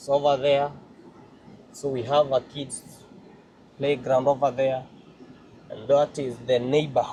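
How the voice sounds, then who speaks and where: This is a somewhat breathy voice from a man. His tone is dark and mellow. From Kenya. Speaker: vlogger, church member. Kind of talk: vlog walkthrough. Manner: halting, many fillers.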